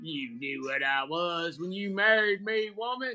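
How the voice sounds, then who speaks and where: A man with a Southern US accent speaks at a fairly slow pace in a high pitch, his tone bright and sharp and his intonation lively. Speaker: host selling gear. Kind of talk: casual, joking.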